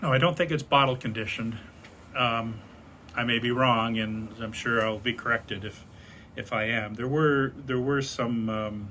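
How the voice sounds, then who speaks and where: In an ordinary speaking voice, a man with an American accent talks at a medium pitch and moderate pace with fairly even intonation. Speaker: beer enthusiast vlogger. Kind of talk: casual monologue. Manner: rambling with many fillers.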